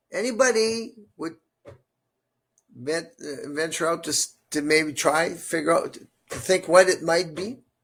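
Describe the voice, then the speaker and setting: A man with a high-pitched voice talks at a fairly slow pace, with lively intonation and big swings in loudness. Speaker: Bible study teacher. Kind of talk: bilingual Bible study group discussion. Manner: halting, repeats words.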